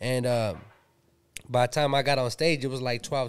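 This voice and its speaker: Speaking at a fairly quick pace, a man with an American accent keeps his intonation fairly even. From Pomona, Southern California; Southern California. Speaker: rapper and producer; podcast guest. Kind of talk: casual interview chat. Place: home room. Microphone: studio mic.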